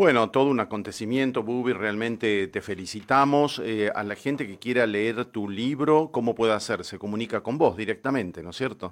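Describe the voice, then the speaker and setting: A normal speaking voice moves at a moderate pace with hardly any pauses. Pitch varies in an ordinary way while loudness swings widely. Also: man, medium pitch for a man. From Tucumán, Argentina. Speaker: radio host and architect. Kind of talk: casual radio interview. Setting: radio studio.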